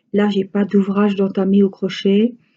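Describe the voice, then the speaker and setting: A woman's somewhat breathy voice with a dark, mellow tone, in a Franche-Comté accent. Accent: regional Franche-Comté accent, drawls letters. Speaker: crafts vlogger. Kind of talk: casual chat. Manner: hesitant, many fillers.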